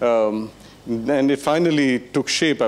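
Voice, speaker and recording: The man's speech shows ordinary pitch variation. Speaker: lecturer. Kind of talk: lecture. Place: hall. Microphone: handheld.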